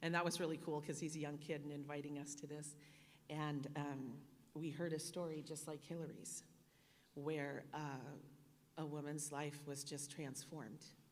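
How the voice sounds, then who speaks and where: A woman speaks at a very deep, low pitch and a moderate pace with monotone, flat intonation. Audible room echo surrounds her voice. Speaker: donor speaking at a charity dinner. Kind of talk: speech at a fundraising dinner. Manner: loud.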